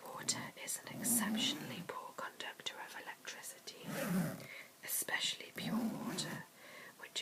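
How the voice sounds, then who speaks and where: Someone whispers at a moderate pace with long, frequent pauses. Noticeable background noise can be heard. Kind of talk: ASMR whispered reading. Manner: whispered; soft-spoken.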